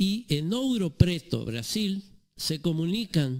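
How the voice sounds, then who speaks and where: Very slowly, a man delivers his words. The pitch of his voice swings very widely. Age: 70s. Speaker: author. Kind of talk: radio interview.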